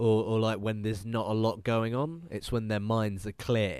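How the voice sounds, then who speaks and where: Pitched fairly low, a man with a British accent speaks at a moderate pace. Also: quiet background. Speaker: podcast co-host. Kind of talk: casual chat. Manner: animated.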